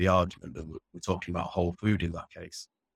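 Speaking with a Yorkshire accent, a man uses a very deep, low pitch and fairly even intonation in a dry, close sound with no echo on a very clean recording with a silent background. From northern England, Sheffield. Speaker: protein researcher. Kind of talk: interview.

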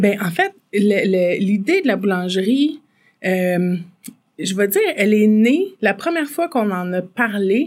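Speaking with a Quebec accent, a woman goes very slowly. Her intonation is lively. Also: medium pitch for a woman. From Quebec, Farnham area. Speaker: entrepreneur, bakery owner. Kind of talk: casual interview.

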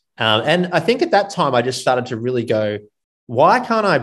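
A man speaks in an Australian accent. His pitch is medium and his pace moderate. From Gold Coast, Australia. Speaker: running coach and business founder. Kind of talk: casual chat.

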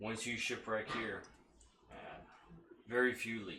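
In a put-on character voice, a man speaks raspy and fairly slowly at a medium pitch. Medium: actual play. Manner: formal, courteous.

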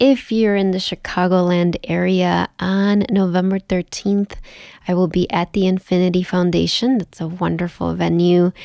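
A woman's plain, everyday voice at medium pitch, fairly slow and fairly even in intonation, on a very clean recording with a silent background and a dry, close sound with no echo. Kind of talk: guided meditation. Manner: slow, soothing and gentle, with calm pauses.

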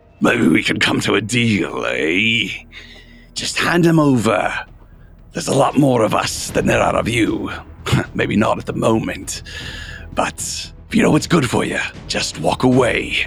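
Growling put-on character voice from a man at medium pitch, moderate in pace with long, frequent pauses, against clear background noise. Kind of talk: coarse, menacing. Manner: snarling, threatening.

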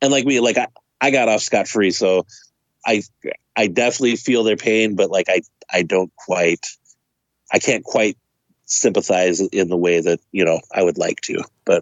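A man speaks at a moderate pace in a fairly low pitch, with ordinary pitch variation and very even loudness. Long, frequent pauses break up his speech. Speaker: podcast co-host. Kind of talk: casual chat.

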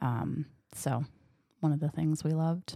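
A woman speaks at a fairly slow pace with ordinary pitch variation. The recording is very clean with a silent background and a dry, close sound with no echo. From Michigan. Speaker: bakery owner. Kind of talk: interview.

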